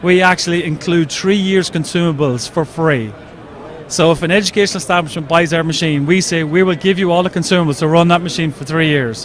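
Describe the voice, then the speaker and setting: Over noticeable background noise, a high-pitched man with an Irish accent talks at a very fast pace with ordinary pitch variation. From Ireland. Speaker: 3D printer company representative. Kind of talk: trade show interview.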